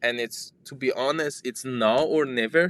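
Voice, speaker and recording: Someone with a non-native accent is heard in a dry, close sound with no echo. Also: man. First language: not English. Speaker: startup founder and software developer. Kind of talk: interview conversation. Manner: halting, with repetitions.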